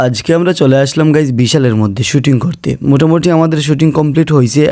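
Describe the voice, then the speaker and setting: The voice belongs to a man, dark and mellow in tone, with ordinary pitch variation. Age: 20s. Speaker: vlogger. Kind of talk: casual vlog narration.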